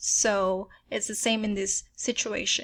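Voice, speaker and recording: A woman speaks with a Filipino accent. Her voice is fairly high and her pace fairly slow. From Philippines. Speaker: software tutorial creator. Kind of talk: tutorial. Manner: casual, filler-heavy with frequent um.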